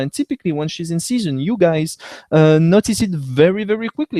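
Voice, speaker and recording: A dark, mellow tone in a French accent, with lively intonation, a fairly quick pace and a dry, close sound with no echo. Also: man. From France. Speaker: veterinarian. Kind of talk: educational webcast lecture. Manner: hesitant with fillers.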